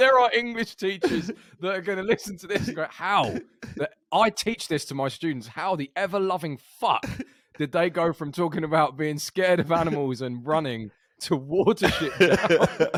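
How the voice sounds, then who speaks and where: A man with a British accent and a high voice speaks at a moderate pace with lively intonation. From Britain, outside London. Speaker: podcast co-host. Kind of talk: casual chat. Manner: animated.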